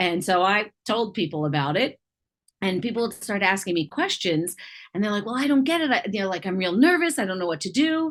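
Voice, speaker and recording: A woman speaks at a medium pitch and a fairly quick pace, her pitch swinging very widely, on a very clean recording with a silent background. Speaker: triathlon and swim coach. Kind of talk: interview. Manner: loud; animated.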